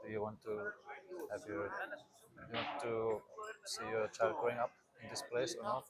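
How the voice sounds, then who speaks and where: A man talks at a moderate pace with long, frequent pauses. Noticeable background noise is present. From Austria (rural mountain area). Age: 20s. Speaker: expectant father, podcast guest. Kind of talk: casual interview conversation. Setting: outdoors in a pool. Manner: halting, many fillers.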